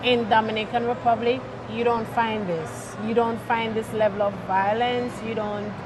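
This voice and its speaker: The speech moves at a fairly slow pace, with audible room echo and noticeable background noise. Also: woman. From Jamaica. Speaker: singer and chaplain, expat guest. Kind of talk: interview.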